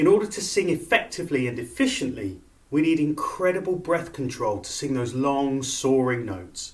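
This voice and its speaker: This man talks at a moderate pace, his voice carrying vocal fry. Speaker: opera singer. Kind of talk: breathing exercise instruction.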